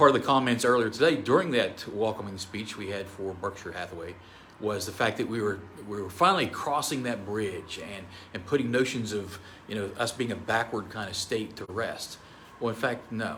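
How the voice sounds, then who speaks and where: A man with a fairly low pitch talks at a fairly quick pace, with ordinary pitch variation. His loudness swings widely, and room echo is audible. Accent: American. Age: 60s. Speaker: state senator. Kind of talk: press conference statement.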